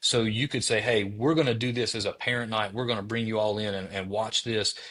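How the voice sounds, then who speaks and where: A man with a strong Southern US accent talks in a fairly low pitch. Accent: thick Southern US. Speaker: former teacher, educator specialist. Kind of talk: interview podcast.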